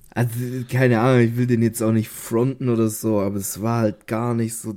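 A man's dark, mellow tone at medium pitch, monotone and flat, delivered at a moderate pace. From Stuttgart area, Swabia, southwest Germany. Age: 20s. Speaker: podcast co-host. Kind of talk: casual chat.

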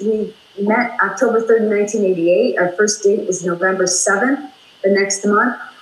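Over noticeable background noise, a woman with an American accent and a fairly high pitch speaks at a very slow pace. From US Midwest, Minnesota. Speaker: talk show guest, author and former radio personality. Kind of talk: casual interview. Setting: video call.

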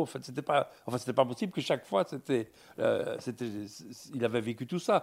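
A man's unremarkable speaking voice with lively intonation at a moderate pace, on a very clean recording with a silent background. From Belgium. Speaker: philosopher and writer. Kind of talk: public panel discussion.

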